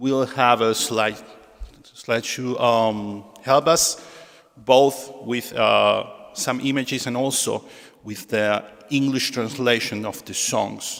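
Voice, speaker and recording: Against noticeable background noise, the speaker goes at a very slow pace with fairly even intonation. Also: man, medium pitch for a man. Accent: Argentine. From Argentina. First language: Spanish. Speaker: synagogue musician and presenter. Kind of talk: spoken introduction at a concert. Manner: halting.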